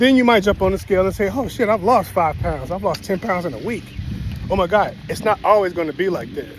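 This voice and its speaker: Over noticeable background noise, a man with an American accent speaks very fast at a high pitch. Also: ordinary pitch variation. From Chicago, US. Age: 40s. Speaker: vlogger. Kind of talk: casual monologue. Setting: outdoors, walking dog. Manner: casual.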